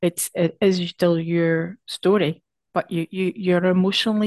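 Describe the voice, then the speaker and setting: A woman with a Northern Irish accent speaks at a fairly slow pace and medium pitch with fairly even intonation, in a dry, close sound with no echo. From Northern Ireland. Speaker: poet. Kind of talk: casual interview. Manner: halting, repeats words.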